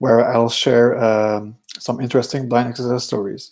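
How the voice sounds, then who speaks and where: A man's dark, mellow voice at medium pitch, flat and monotone. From Quebec. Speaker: security researcher. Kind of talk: conference talk. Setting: virtual conference. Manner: hesitant, many fillers.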